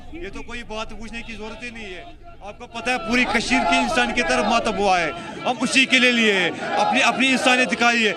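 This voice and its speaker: Projecting a raised voice at an extremely high pitch, a man talks at a moderate pace with ordinary pitch variation and big swings in loudness, with audible room echo and crowd noise in the background. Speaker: protester. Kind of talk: street interview. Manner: emotional.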